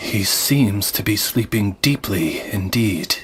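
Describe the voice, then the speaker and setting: A man puts on a cartoonish character voice pitched fairly low. He delivers it at a fairly slow pace. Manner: formal, measured.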